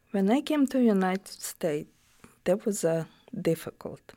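Her tone is dark and mellow, her pitch medium. This woman talks at a moderate pace with lively intonation. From Ukraine. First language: Russian or Ukrainian. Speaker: immigrant cafe owner. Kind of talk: oral history interview. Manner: halting.

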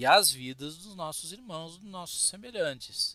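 A high-pitched man with a bright, sharp tone, in a dry, close sound with no echo. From Rio Grande do Sul, Brazil (Cruz Alta). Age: 40s. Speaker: religious teacher. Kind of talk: lecture. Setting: Facebook live stream.

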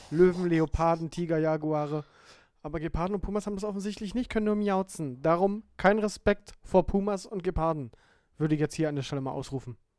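This man speaks at a high pitch and a fairly quick pace. His pitch varies in an ordinary way. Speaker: podcast co-host. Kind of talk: casual chat.

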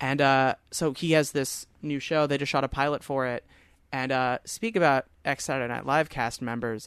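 An American man's ordinary speaking voice, fairly high in pitch with ordinary pitch variation, at a moderate pace over a quiet background. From Long Island, New York. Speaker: actor and comedian. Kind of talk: casual chat.

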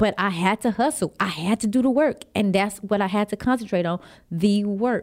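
A woman with a plain, everyday voice speaks at a moderate pace and medium pitch with ordinary pitch variation, on a very clean recording with a silent background. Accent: American. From Texas, San Antonio. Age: 30s. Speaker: personal trainer and new show host. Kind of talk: radio interview. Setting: radio studio.

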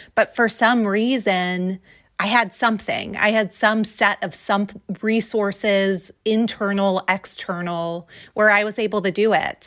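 In a very clean recording with a silent background, a woman with an American accent talks at a fairly slow pace. She has a plain, everyday voice, a medium pitch and fairly even intonation. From New Jersey. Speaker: education consultant and author. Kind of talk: interview.

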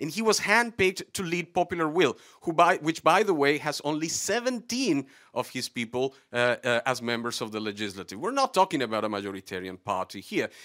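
A man with a fairly high pitch and bright, sharp tone speaks at a fairly quick pace, using very wide pitch swings and vocal fry. The sound is dry and close with no echo, on a very clean recording with a silent background. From Latin America. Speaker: audience member. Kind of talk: studio debate. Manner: halting.

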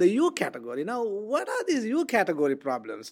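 On a very clean recording with a silent background, a woman talks at a fairly quick pace with vocal fry and very wide pitch swings. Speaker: professor. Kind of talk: interview about teaching research.

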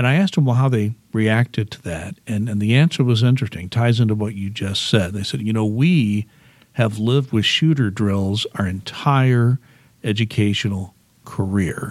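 With a normal speaking voice, a man talks at a moderate pace, his fairly low pitch showing ordinary variation. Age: 60s. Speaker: local news blogger and podcast host. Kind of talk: interview. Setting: library AV studio.

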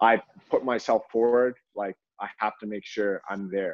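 Here a man with a Canadian accent talks in an ordinary speaking voice. His pitch is fairly low and his intonation fairly even. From Canada (Toronto). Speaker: professional soccer player. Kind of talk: casual chat. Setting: video call.

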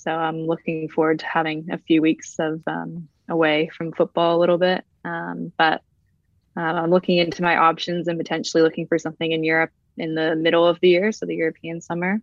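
A fairly low-pitched woman with an American accent, flat and monotone, at a fairly quick pace. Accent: American-sounding. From Brazil. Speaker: professional footballer. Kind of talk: casual interview.

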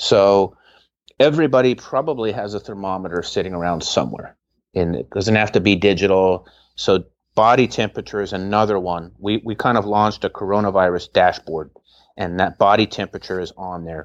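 This man has a plain, everyday voice, pitched fairly low. He talks at a fairly quick pace with ordinary pitch variation. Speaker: healthcare founder. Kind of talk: interview answers.

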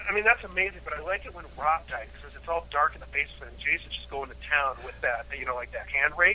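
A man at a very fast pace with hardly any pauses, big swings in loudness, and noticeable background noise. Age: 40s. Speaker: podcast co-host. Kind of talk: casual chat.

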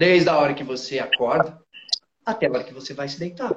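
This man speaks in a fairly high pitch for a man. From interior of São Paulo state, Brazil. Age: 30s. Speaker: motivational speaker. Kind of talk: casual chat. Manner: animated.

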